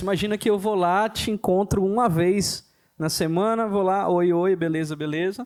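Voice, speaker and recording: The speaker is a man. His pitch is high. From southern Bahia, Brazil. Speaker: pastor. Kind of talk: casual chat.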